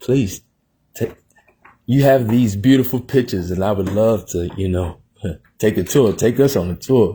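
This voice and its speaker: A man's fairly low, dark and mellow voice, somewhat breathy, at a moderate pace with ordinary pitch variation and long, frequent pauses. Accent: American. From Texas, Plainview. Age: 30s. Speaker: podcast host. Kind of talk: interview.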